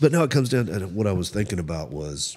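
A man talks at a fairly quick pace with lively intonation. His voice has vocal fry and a Southern US accent. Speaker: podcast host. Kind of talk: casual chat. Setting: recorded at a local cafe venue.

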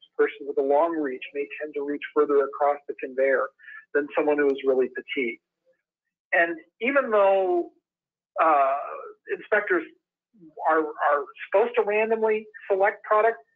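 Against a quiet background, a man speaks with an Upper Midwest accent at a high pitch and moderate pace. His intonation is lively, broken by long, frequent pauses. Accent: Upper Midwest American. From Wisconsin. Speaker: industrial sales engineer. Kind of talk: webinar presentation. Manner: hesitant with fillers. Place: home room. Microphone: webcam.

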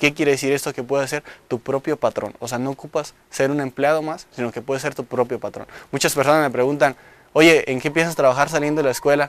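This man has a fairly high pitch and monotone, flat intonation. He talks at a very fast pace, and the sound is dry with no echo. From Michoacán, Mexico (Coalcomán); Michoacán, Mexico. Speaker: engineering student. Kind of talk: promotional testimonial. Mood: proud, earnest. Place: studio. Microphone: lapel.

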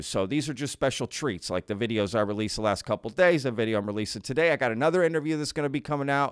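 The background is quiet as a man talks with lively intonation. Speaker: podcast host. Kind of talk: casual vlog chat. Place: home room. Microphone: studio mic.

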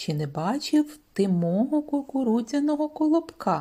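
A woman speaks in a put-on character voice, high-pitched, with very wide pitch swings at a moderate pace. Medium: read story.

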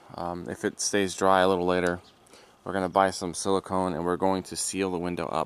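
A man speaks at a moderate pace in a very deep, low voice, his intonation flat and monotone, with a dry sound and no echo. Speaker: car vlogger. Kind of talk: casual vlog chat. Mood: mildly frustrated. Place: street. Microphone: phone near.

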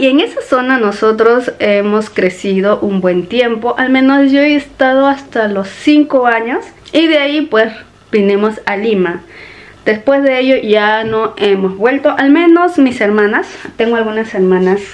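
A woman talks at a fairly slow pace. Her pitch variation is ordinary. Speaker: vlogger. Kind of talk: casual vlog chat. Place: home room. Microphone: phone near.

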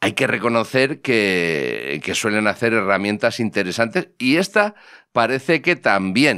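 A man at medium pitch, with vocal fry and a bright, sharp tone, talks at a fairly slow pace with very wide pitch swings against a quiet background. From Spain. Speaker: technology podcast host. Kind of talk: casual chat. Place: studio. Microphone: studio mic.

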